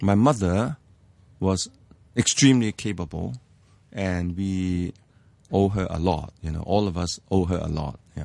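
Against a quiet background, a man with a Hong Kong accent speaks fairly slowly in a very deep, low voice. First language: Cantonese. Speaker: economics professor. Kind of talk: interview about life story. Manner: hesitant with many fillers.

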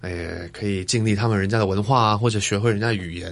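A man with a slight Taiwanese accent. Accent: slight Taiwanese accent in Mandarin. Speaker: actor and DJ. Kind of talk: casual interview chat. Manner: halting, many fillers.

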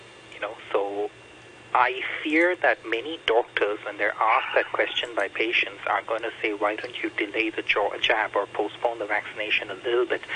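Speaking at a moderate pace and medium pitch, a man shows ordinary pitch variation over noticeable background noise. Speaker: microbiologist. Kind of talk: radio interview. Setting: phone call.

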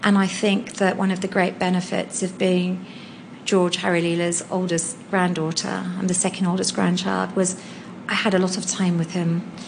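A woman at a medium pitch talks at a moderate pace in a monotone, flat way. The room echo is audible, and background noise is noticeable. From Hong Kong. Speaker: NGO founder and charity leader. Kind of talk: interview.

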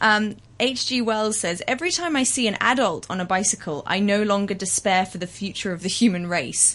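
A woman speaks at a moderate pace in a medium pitch. She has an unremarkable speaking voice with ordinary pitch variation. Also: hardly any pauses. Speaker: audio columnist. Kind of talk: casual chat.

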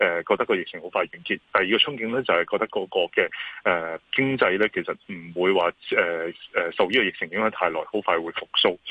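A man speaks at a fairly quick pace with a Hong Kong accent. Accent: Hong Kong Cantonese. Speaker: securities firm chairman, market commentator. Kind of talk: radio interview, financial commentary. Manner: hesitant, many fillers.

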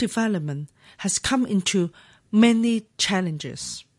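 A somewhat breathy woman of medium pitch with very wide pitch swings, over a quiet background. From Hong Kong. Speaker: legislator. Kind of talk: reading aloud. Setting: studio. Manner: formal.

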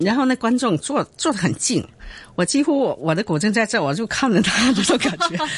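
Pitch swings very widely while loudness stays very even, with noticeable background noise behind the voice. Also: woman, fairly high pitch for a woman, moderate pace. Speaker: guzheng performer and music teacher. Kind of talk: interview. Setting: radio studio.

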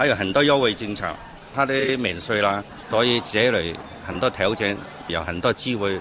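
Over noticeable background noise, a man with a fairly low pitch talks at a moderate pace, leaving long, frequent pauses. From Ili, Xinjiang. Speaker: local government official. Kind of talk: studio interview. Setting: radio studio.

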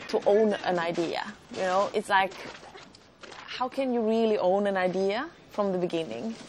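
Against noticeable background noise, a woman at a medium pitch speaks at a moderate pace with ordinary pitch variation and long, frequent pauses. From Sweden. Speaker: filmmaker. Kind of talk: interview.

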